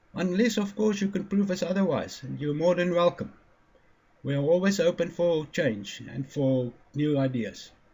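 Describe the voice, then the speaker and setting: A man speaks with a high pitch and a dark, mellow tone. His intonation is lively. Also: moderate pace. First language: not English. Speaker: independent physics theorist. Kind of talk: lecture. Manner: halting, stumbling over words.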